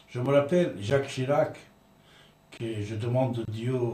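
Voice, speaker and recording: Over light background noise and audible room echo, a man talks at a very slow pace with ordinary pitch variation. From Iran. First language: Persian (speaking French). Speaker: radio host; commentator. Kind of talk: radio talk show monologue. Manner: halting. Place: studio.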